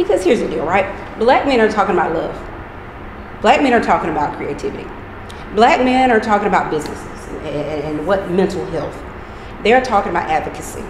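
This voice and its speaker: A woman talks very fast with lively intonation, broken by long, frequent pauses. Noticeable background noise is present. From US South, eastern North Carolina (Pitt County); North Carolina. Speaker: project founder. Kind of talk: interview. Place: hall.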